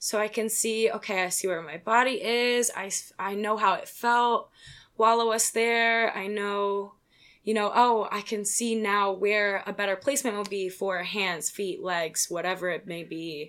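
A woman with an American accent, a normal speaking voice, medium pitch, ordinary pitch variation and a fairly slow pace. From Pennsylvania (Philadelphia suburbs). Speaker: pole dancer. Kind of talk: casual chat.

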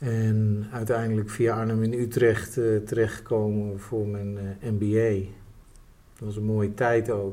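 In a room with audible echo, a man with a dark, mellow tone and fairly low pitch speaks very slowly in a monotone, flat intonation. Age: 50s. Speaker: tech entrepreneur. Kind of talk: interview. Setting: office. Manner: halting.

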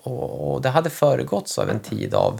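Moderate pace from a man. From northern Sweden, Västernorrland. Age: 30s. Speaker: family doctor. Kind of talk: casual chat. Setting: at home.

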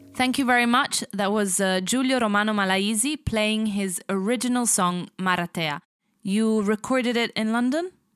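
An ordinary speaking voice from a woman, fairly high in pitch with ordinary pitch variation and a moderate pace, dry and close with no echo, on a very clean recording with a silent background. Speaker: podcast host. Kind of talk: interview.

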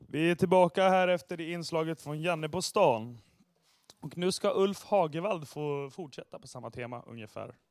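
A man's high-pitched voice at a moderate pace, with ordinary pitch variation and big swings in loudness. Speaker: radio host. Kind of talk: radio show hosting.

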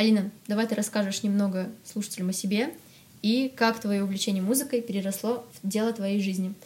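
A woman speaks at a fairly quick pace with fairly even intonation and a somewhat breathy sound. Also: medium pitch for a woman. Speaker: podcast host. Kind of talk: casual interview chat.

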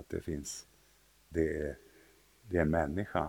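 Somewhat breathy and very deep, a man's voice carries fairly even intonation. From Sweden, southern and central regions. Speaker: bishop. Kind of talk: interview. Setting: cathedral, live recorded conversation. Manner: halting, repeats words.

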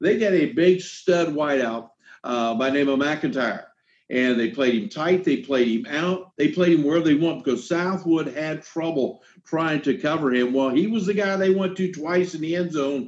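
A man's fairly high-pitched voice in an American accent, at a moderate pace with ordinary pitch variation. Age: 60s. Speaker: high school football broadcaster. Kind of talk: casual sports chat. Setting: video call. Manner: halting, many fillers.

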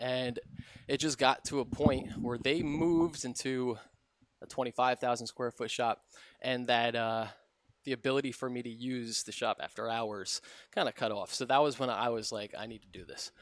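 A man with a plain, everyday voice and an American accent speaks at a medium pitch and moderate pace, with fairly even intonation, big swings in loudness, and a dry, close sound with no echo. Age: 30s. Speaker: custom cabinetry business owner. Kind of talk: casual chat. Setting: in his workshop.

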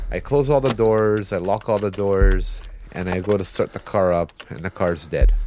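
A man talks with a fairly low pitch. His pace is moderate, with music behind him. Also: ordinary pitch variation. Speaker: storyteller. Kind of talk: first-person ghost story telling. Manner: tense, building urgency.

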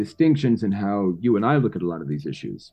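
Music plays in the background as a man with a New York accent talks at a fairly quick pace. His pitch swings very widely. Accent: New York American. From New York City. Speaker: podcast host. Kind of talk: interview conversation.

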